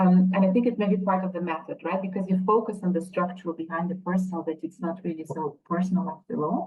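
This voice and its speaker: A somewhat breathy woman's voice at a very fast pace. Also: medium pitch for a woman, fairly even intonation. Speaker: academic and book editor. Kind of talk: webinar panel discussion. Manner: hesitant, many fillers.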